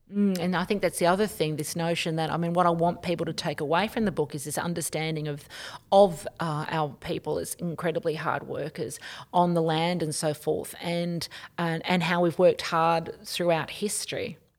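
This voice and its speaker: A woman with an Australian accent, fairly low in pitch, at a moderate pace with fairly even intonation. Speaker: author and professor. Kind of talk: interview.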